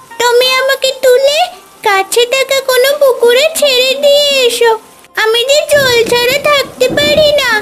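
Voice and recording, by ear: Music plays in the background of a cartoonish character voice at an extremely high pitch. It moves at a fairly slow pace.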